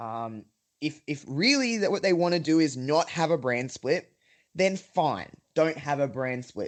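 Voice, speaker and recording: An Australian accent marks the speech, delivered at a moderate pace. The pitch swings very widely. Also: man. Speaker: wrestling podcaster. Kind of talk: casual chat.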